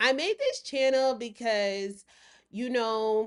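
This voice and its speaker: Fairly high female voice with an American accent against a quiet background. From US South. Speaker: lifestyle and self-care vlogger. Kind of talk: casual vlog monologue.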